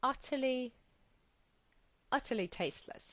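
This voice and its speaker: A woman with a non-native accent against a quiet background. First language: not English. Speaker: video blogger. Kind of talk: angry rant. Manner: hesitant, many fillers.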